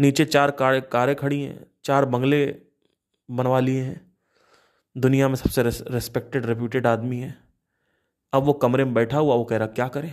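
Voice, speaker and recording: A man in a monotone, flat intonation, with long, frequent pauses. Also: medium pitch for a man. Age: 30s. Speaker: podcaster. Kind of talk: casual monologue. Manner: halting.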